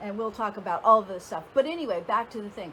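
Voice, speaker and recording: A woman speaks over noticeable background noise. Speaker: dating and relationship coach. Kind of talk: casual vlog talk to camera. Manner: hesitant with fillers.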